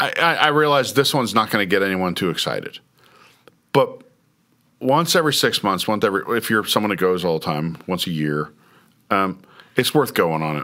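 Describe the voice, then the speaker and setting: Talking at a fairly quick pace with long, frequent pauses, a man uses a fairly low pitch, a bright, sharp tone and very wide pitch swings. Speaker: podcast host. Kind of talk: casual chat. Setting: studio.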